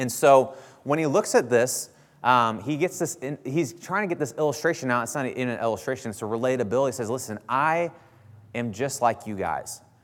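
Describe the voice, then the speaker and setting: With an American accent, a man speaks at a moderate pace and medium pitch, using ordinary pitch variation. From US Midwest, southern Illinois near St. Louis. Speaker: pastor. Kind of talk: sermon. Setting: church. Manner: casual, conversational with frequent fillers.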